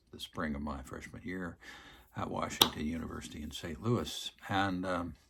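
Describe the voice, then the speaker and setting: Amid noticeable background noise, a man with a very deep, low pitch talks at a moderate pace with ordinary pitch variation and big swings in loudness. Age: 70s. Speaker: retired priest. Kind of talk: casual monologue to camera. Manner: hesitant, many fillers.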